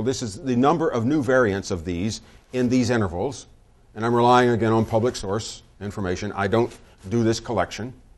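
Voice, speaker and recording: A man with an American accent talks at a fairly quick pace against a quiet background. His is an unremarkable speaking voice of medium pitch with ordinary pitch variation. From US South. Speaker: security expert and statistician. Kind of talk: lecture.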